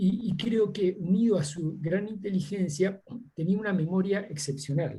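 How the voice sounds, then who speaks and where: Fairly slow and dark, mellow in tone, a man speaks at a high pitch. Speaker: seminar participant. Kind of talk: Q&A discussion. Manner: halting, many fillers.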